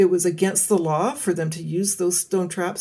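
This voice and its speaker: Medium in pitch and moderate in pace, this woman has a normal speaking voice. She speaks with a Canadian accent. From British Columbia, Canada. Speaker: forest ecologist. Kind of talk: interview.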